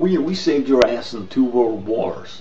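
A man speaks at a fairly slow pace in a put-on character voice, medium in pitch. Clear background noise sits behind him. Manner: brash, taunting.

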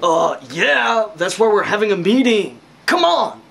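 A man puts on a cartoonish character voice with a high pitch. He speaks at a fairly slow pace. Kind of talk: comedy puppet show dialogue.

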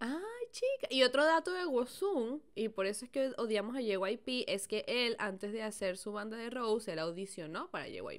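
A woman's animated tone at a fairly slow pace, with very wide pitch swings and hardly any pauses. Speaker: podcast co-host. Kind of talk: casual chat. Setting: video recording.

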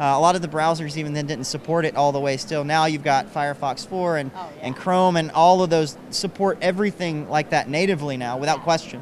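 A man with a Southern US accent, a fairly high pitch and fairly even intonation, over light background noise. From Kentucky, rural. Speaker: web developer; interviewee. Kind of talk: interview. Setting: conference floor. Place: hall. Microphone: handheld.

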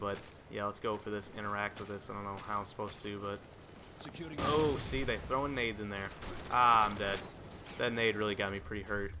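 A man's fairly low voice at a fairly quick pace, with ordinary pitch variation and long, frequent pauses, plus audible room echo and noticeable background noise. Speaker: gaming commentator. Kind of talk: live gameplay commentary. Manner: animated.

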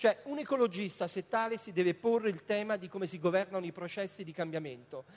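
In a high pitch with ordinary variation, a man talks at a very fast pace with an animated tone, hardly any pauses and big swings in loudness. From Italy. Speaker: politician. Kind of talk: political debate. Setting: stage with audience. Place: stage. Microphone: handheld.

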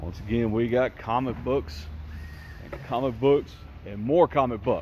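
A man's slightly mellow voice, medium in pitch, with ordinary pitch variation and a fairly slow pace

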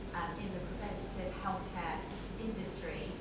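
Over loud background noise and audible room echo, a woman speaks at a moderate pace. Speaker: panelist. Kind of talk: panel introduction answer. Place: hall.

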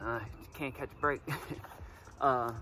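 A man talks with ordinary pitch variation over noticeable background noise. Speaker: fishing vlogger. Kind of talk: casual vlog chat. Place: forest.

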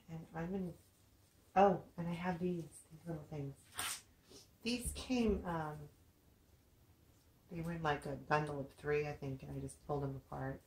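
A woman with a very deep, low pitch speaks somewhat breathily with ordinary pitch variation, big swings in loudness and long, frequent pauses, over light background noise with audible room echo. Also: moderate pace. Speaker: craft video maker. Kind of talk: craft tutorial. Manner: soft-spoken, talks low; casual, hesitant with fillers. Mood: relaxed, friendly. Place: home room. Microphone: camera far.

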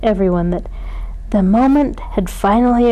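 The speaker reads aloud plainly.

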